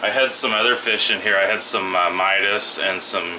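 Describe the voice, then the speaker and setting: Noticeable noise fills the background. A man speaks with fairly even intonation. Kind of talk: casual tour commentary. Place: home room. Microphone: phone near.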